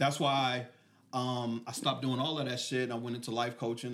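A man with an American accent speaks in a normal speaking voice, his medium pitch held to fairly even intonation. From Killeen, Texas. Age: 40s. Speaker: podcast host, life coach. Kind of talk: casual podcast conversation. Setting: on location in hometown.

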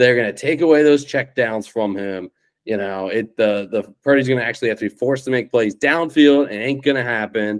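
This is a normal speaking voice with ordinary pitch variation. The delivery moves at a fairly quick pace. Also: man, medium pitch for a man. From Cincinnati, Ohio, US Midwest. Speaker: podcast co-host, football fan. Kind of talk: casual sports chat.

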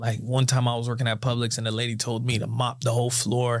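Somewhat breathy, a man talks at a very fast pace and medium pitch. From South Florida (Sunrise), Haitian parents. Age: 20s. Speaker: insurance agency owner, entrepreneur. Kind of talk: casual interview chat.

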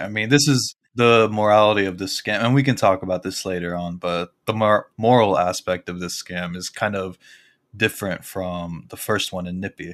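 Very deep and low, a man's voice moves at a moderate pace. The recording is very clean with a silent background. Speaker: podcast co-host. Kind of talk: casual chat.

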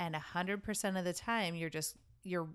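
A woman with an unremarkable speaking voice and fairly low pitch talks with fairly even intonation on a very clean recording with a silent background. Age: 40s. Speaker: podcast co-host. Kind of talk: casual chat.

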